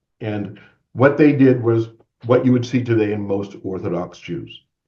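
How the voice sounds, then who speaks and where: At a moderate pace, the voice sounds somewhat breathy with a dark, mellow tone. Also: man. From Maine, US (Bangor). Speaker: guest speaker on religion. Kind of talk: lecture.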